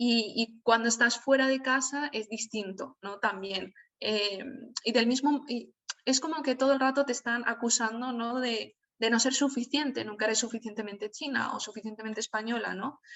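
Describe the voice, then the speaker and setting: This woman's voice sits at a fairly high pitch. She talks at a moderate pace with fairly even intonation. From Spain, Alicante (Valencian region). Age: 20s. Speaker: writer and journalist. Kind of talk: online talk. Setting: video call. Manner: hesitant with many fillers.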